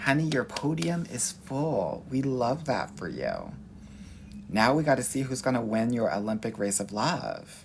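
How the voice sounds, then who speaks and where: A man speaks at a fairly slow pace with a Southern Californian accent. His intonation is lively. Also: medium pitch for a man. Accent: Valley girl. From Los Angeles, US West Coast. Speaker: dating coach. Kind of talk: live-stream Q&A reading viewer comments. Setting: livestream. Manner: animated.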